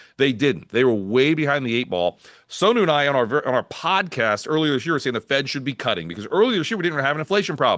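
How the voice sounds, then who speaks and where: A man speaks very fast in a fairly high, animated voice with vocal fry and hardly any pauses. His pitch swings very widely against a quiet background. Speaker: market strategist. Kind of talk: casual chat.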